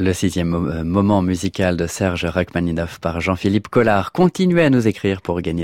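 A man speaks with a very deep, low pitch at a fairly slow pace, his ordinary pitch variation heard in a dry, close sound with no echo. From Normandy, France. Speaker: radio host. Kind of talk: radio presenting. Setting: studio.

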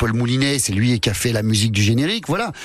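This man has an unremarkable speaking voice at medium pitch with ordinary pitch variation. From France, Lyon. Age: 50s. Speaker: comedian. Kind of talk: casual chat.

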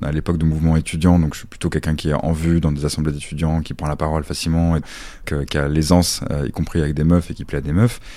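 A man speaks at a very fast pace in a very deep, low pitch, his tone dark and mellow and his intonation monotone and flat. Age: 30s. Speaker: social worker. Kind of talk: testimony. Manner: hesitant, many fillers.

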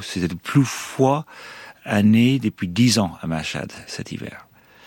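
A man speaks at a very slow pace with lively intonation. The recording is very clean with a silent background. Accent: Irish. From Ireland. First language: English (speaking French). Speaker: former hostage. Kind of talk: testimony. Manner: halting.

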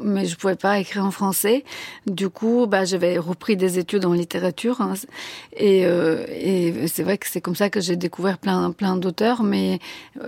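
Recorded dry and close with no echo, a woman with a Bulgarian accent speaks at a fairly slow pace in a medium pitch. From Bulgaria, Sofia. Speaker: novelist. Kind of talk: radio interview.

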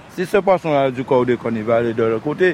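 A man talks at a moderate pace with ordinary pitch variation as noticeable background noise carries on. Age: 50s. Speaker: fisherman. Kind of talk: interview. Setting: outdoors.

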